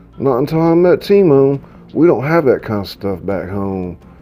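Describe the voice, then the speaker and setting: A man talks very slowly, with music playing behind him. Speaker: author reading his own novel. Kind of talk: audiobook narration.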